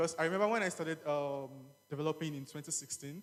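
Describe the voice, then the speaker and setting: Here a man talks at a very fast pace. His pitch is fairly high, with ordinary pitch variation. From Nigeria. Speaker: software engineer, tech speaker. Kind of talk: tech conference talk. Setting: stage with audience. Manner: casual, with fillers.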